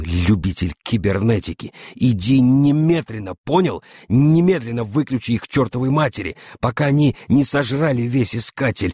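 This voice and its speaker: A man whispers in a put-on character voice. It is hissing, with very even loudness. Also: moderate pace, dry, close sound with no echo, very clean recording, silent background. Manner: furious, hissing whisper.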